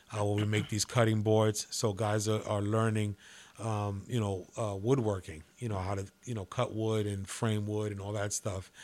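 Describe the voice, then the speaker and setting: Here a man speaks with fairly low pitch. His intonation is monotone and flat. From New York City (Manhattan). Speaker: pastor. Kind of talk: interview testimony.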